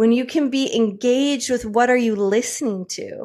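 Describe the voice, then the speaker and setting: In a very clean recording with a silent background, a woman with a plain, everyday voice speaks at a moderate pace, her fairly high pitch showing ordinary pitch variation. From US Midwest, Michigan. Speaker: tantra coach. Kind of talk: interview.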